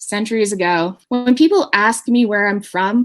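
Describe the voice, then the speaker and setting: This woman speaks with a Maritimes accent. Her intonation is lively. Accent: Canadian English (Maritimes). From Canada, New Brunswick (Hampton). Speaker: communications professional. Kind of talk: panel discussion.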